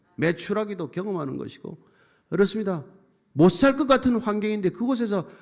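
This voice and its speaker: A man's high, animated voice with lively intonation at a moderate pace on a very clean recording with a silent background. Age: 70s. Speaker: pastor. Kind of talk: sermon.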